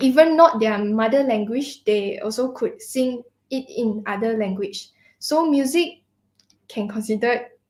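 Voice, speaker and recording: A woman with a Mandarin accent speaks fairly slowly in a fairly high voice with ordinary pitch variation. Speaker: student singer. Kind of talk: conversational interview. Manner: halting.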